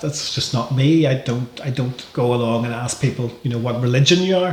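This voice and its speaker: A man with a Northern Irish accent, medium pitch, ordinary pitch variation and a fairly quick pace, against noticeable background noise. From Northern Ireland. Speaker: wrestling promoter. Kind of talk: podcast interview. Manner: hesitant, many repetitions.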